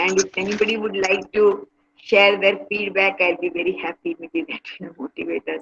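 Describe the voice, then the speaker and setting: A woman with an Indian accent speaks at a moderate pace and medium pitch, her intonation lively. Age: 70s. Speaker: meditation and yoga speaker. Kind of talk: talk to online workshop participants.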